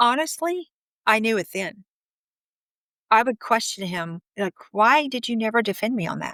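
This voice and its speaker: Loud speech with a bright, sharp tone and lively intonation moves at a moderate pace with long, frequent pauses and a dry, close sound with no echo. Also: woman, fairly high pitch for a woman. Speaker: interviewee sharing her marriage story. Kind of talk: interview testimony. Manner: outspoken.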